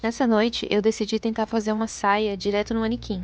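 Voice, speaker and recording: A soft-spoken woman of medium pitch against a quiet background. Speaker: vlogger, seamstress and tattoo artist. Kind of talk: casual vlog narration. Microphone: no microphone, may be hard to hear.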